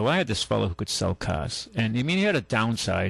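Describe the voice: With vocal fry, a man speaks fairly quickly at a fairly low pitch.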